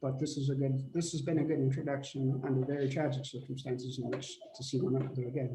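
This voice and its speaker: A man talks at a very fast pace, with a medium pitch, monotone, flat intonation and very even loudness. Audible room echo and noticeable background noise surround him. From Manitoba, Canada. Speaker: family member. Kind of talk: memorial remarks on a family video call.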